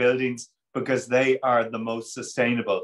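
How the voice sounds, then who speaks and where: Over a quiet background, a man talks with an Irish accent. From Ireland. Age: 50s. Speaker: politician, Member of European Parliament; webinar panelist. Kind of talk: panel discussion. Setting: video call. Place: office. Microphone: video call.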